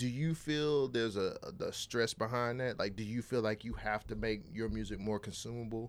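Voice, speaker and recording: In an ordinary speaking voice, a man with an American accent talks at medium pitch and a moderate pace, with fairly even intonation and hardly any pauses, in a very clean recording with a silent background. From California. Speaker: podcast host. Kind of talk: interview. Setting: studio.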